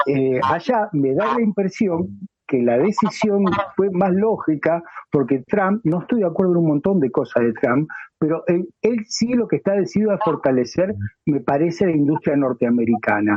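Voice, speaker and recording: At a moderate pace, a man with a Rioplatense accent holds a very even loudness while his high pitch makes very wide swings. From Argentina, near Rosario. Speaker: talk show co-host. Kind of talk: interview conversation. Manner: halting.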